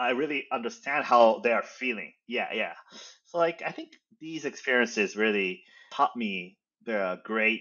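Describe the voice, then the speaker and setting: A man speaks in a medium pitch with a Japanese accent. His intonation is lively and his pace moderate. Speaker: startup founder and CEO. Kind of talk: interview. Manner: halting.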